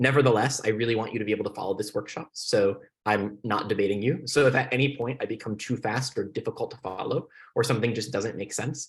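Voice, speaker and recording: Somewhat breathy, a man with a medium pitch speaks at a very fast pace with ordinary pitch variation. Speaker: debate coach. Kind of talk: lecture. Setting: video call.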